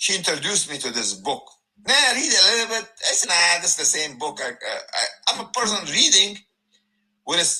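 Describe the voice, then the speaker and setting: Using a raised, projected voice, a man speaks at a fairly quick pace and high pitch with very wide pitch swings and long, frequent pauses. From Afghanistan, raised in Germany. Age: 50s. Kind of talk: testimony. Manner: loud; halting.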